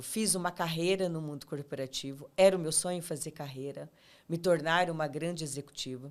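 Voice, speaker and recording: With a São Paulo interior accent, a woman speaks at a fairly low pitch. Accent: Brazilian interior São Paulo. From interior of São Paulo state, Ribeirão Preto. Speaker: podcast host, leadership coach. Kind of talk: interview.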